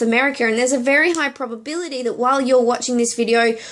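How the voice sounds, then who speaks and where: A woman talks at a very fast pace with an Australian accent. Her pitch is high. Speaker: network marketing coach, video blogger. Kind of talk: direct-to-camera business tutorial. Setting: temporary home office in hotel room.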